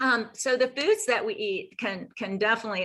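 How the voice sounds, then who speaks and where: Her speech moves along at a fairly quick pace. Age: 60s. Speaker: health practitioner. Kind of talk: interview. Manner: halting.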